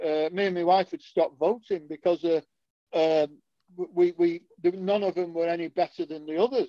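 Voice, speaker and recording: The sound is dry and close with no echo as a man speaks at a moderate pace in a high pitch, with a dark, mellow tone and fairly even intonation. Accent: northern English. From northern England. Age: 70s. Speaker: political podcast co-host. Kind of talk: casual political discussion.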